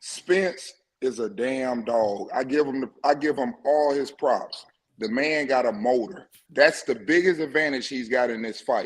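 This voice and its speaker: A plain, everyday voice comes through with ordinary pitch variation. The pace is fairly slow. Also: man, medium pitch for a man. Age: 50s. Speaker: caller. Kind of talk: casual chat.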